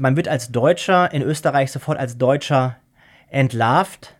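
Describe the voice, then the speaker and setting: On a very clean recording with a silent background, a man talks in a normal speaking voice, fairly high-pitched, with ordinary pitch variation. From Germany. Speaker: law professor. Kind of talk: interview.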